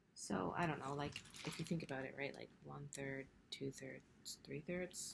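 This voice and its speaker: A soft-spoken woman at a moderate pace. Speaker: cross-stitch vlogger. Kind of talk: casual hobby vlog. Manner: casual, filler-heavy.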